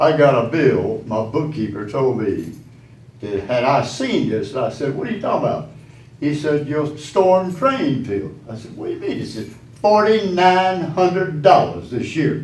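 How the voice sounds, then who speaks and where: A man's fairly high voice with a Southern US accent, somewhat breathy, at a moderate pace with very wide pitch swings and audible room echo. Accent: Southern US (Georgia). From Statesboro, Georgia. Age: 80s+. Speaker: business owner, public commenter. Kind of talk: public comment at council meeting. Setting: city council meeting.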